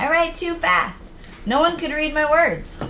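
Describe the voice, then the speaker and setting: Over clear background noise, a put-on character voice speaks at a high pitch and a moderate pace. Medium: read story.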